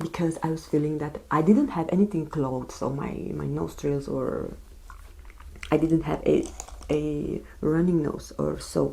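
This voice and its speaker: A woman talks in a soft-spoken way. Her pace is fairly slow. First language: non-English. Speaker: beauty vlogger. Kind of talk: casual chat. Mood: serious, recounting illness. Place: home room.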